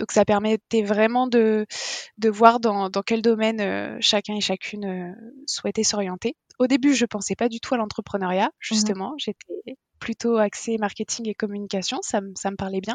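An ordinary speaking voice, a woman at a fairly high pitch and moderate pace with fairly even intonation. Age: 20s. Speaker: restaurant owner. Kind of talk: interview.

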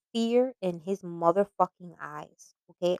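Recorded with a dry, close sound and no echo, a woman in a New York accent speaks at a fairly slow pace with lively intonation. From New York (Bronx). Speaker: podcaster. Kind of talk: personal storytelling monologue. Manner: hesitant, many fillers.

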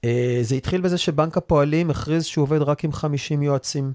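An ordinary speaking voice from a man, fairly high in pitch with ordinary pitch variation, on a very clean recording with a silent background and a dry, close sound with no echo. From Israel, Rehovot. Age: 40s. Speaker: mortgage advisors' association chairman. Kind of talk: interview.

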